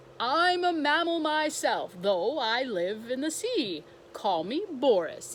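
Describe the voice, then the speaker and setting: A female-sounding, put-on character voice sits high in pitch and swings very widely. She talks at a fairly slow pace over clear background noise. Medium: read story.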